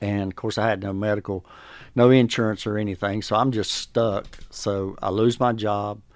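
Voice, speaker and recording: A man with a Southern US accent speaks at a moderate pace in a fairly low, flat monotone. The recording is very clean, with a silent background. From North Carolina. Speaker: program graduate, former addict. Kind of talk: testimony.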